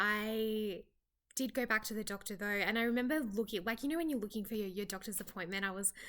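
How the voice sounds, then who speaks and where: Bright and sharp in tone, a woman speaks at a medium pitch. The recording is very clean, with a silent background. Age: 30s. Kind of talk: personal story told to camera. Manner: casual, hesitant.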